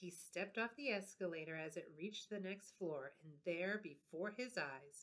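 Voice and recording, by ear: The pitch variation is ordinary as the words are read aloud in a natural voice.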